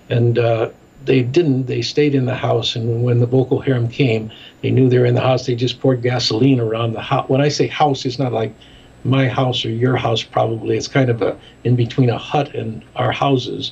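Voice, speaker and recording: With an American accent, a man talks at a moderate pace in a monotone, flat intonation at a medium pitch, with noticeable background noise behind him. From US Midwest, Chicago. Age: 70s. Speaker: ministry director and documentary maker. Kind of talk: interview.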